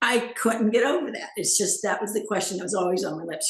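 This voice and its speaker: Lively intonation at a fairly quick pace, with audible room echo. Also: woman. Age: 70s. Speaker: interview guest. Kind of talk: casual interview.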